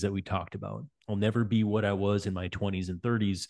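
A man's normal speaking voice, fairly low-pitched, at a moderate pace with fairly even intonation, over a quiet background. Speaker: cycling coach and podcast host; cycling coach, podcast host. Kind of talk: interview podcast. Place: home room. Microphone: studio mic.

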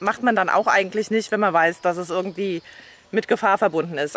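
A woman talks at a very fast clip with ordinary pitch variation. The sound is dry, with no echo. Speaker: vlogger. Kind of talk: casual vlog chat. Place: open country. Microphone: phone near.

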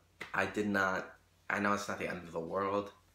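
This man's voice is fairly low in pitch with a bright, sharp tone. Audible room echo surrounds it. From Rochester, New York, US; New York. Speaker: YouTuber and singer; YouTuber. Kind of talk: casual vlog monologue. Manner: animated, filler-heavy. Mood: animated storytelling. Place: home room. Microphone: phone near.

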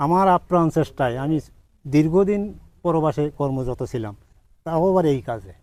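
His tone dark and mellow, a man speaks at a fairly high pitch with lively intonation. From Bangladesh, Satkhira. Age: 60s. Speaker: date palm farmer, former migrant worker. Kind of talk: interview.

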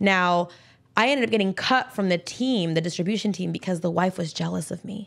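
On a very clean recording with a silent background, a woman uses an ordinary speaking voice at medium pitch, fairly quick pace and ordinary pitch variation. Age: 30s. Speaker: entrepreneur in cannabis industry. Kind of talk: casual chat.

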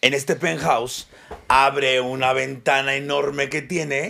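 A man talks at a very slow pace with fairly even intonation. His voice is fairly high, with a bright, sharp tone. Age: 40s. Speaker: comedian podcast co-host. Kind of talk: casual chat. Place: studio. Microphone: studio mic.

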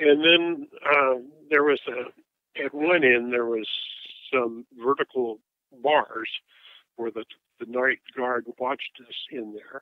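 A man speaks at a medium pitch with fairly even intonation and big swings in loudness. His pace is very slow, with long, frequent pauses. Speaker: civil rights veteran. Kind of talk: testimony. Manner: halting.

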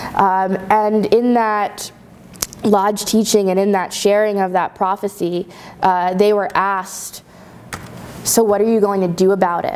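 Over light background noise, a woman speaks at a fairly slow pace in a monotone, flat intonation. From Long Island, New York (Shinnecock Nation); New York. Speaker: researcher; guest lecturer. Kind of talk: lecture. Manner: halting, frequent fillers. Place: classroom. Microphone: camera far.

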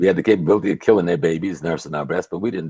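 A man talks with a very deep, low pitch. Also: quiet background. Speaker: professor, activist, lecturer; professor, lecturer. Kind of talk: interview answer. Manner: calm delivery. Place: home room. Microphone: earbuds.

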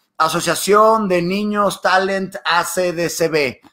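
Speaking in a high voice with a bright, sharp tone, a man keeps his intonation fairly even on a very clean recording with a silent background. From Mexico, Monterrey. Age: 20s. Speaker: TV presenter and YouTuber. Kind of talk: casual interview.

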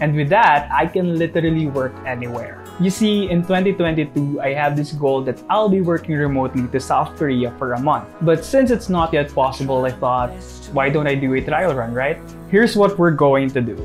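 Faint music in the background, ordinary pitch variation and a moderate pace. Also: man. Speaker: vlogger. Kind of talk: casual vlog chat. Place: home room. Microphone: lapel.

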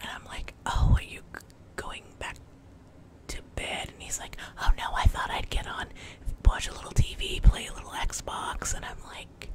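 A woman whispers at a moderate pace, her loudness swinging widely, with long, frequent pauses. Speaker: home vlogger. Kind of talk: casual vlog storytelling. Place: home room. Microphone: studio mic.

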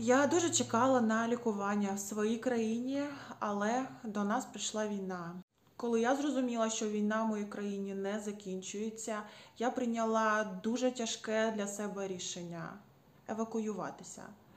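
Fairly even intonation from a woman with a fairly high pitch. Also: moderate pace. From Ukraine. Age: 30s. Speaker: patient advocate. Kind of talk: personal testimony. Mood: earnest, calm, grateful. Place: home room. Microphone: phone near.

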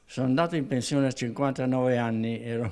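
Against a quiet background, a man with a dark, mellow tone talks at a moderate pace with fairly even intonation. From Reggio Emilia, Italy; Italy. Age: 90s. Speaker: retired union volunteer. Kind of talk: testimony. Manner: halting. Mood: calm, reflective reminiscing. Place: office. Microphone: handheld.

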